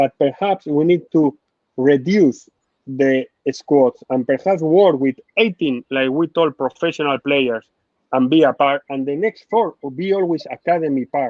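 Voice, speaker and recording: With a Spanish accent, a man talks at a fairly slow pace in a passionate tone, his fairly high voice showing ordinary pitch variation. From Spain. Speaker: football sporting director. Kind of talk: interview. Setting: live online interview. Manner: halting, non-native phrasing.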